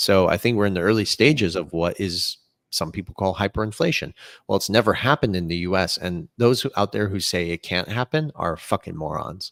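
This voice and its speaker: On a very clean, silent-background recording with a dry, close sound and no echo, a man with a fairly low voice talks fairly quickly in an animated tone with lively intonation. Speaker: crypto commentator. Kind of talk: podcast interview.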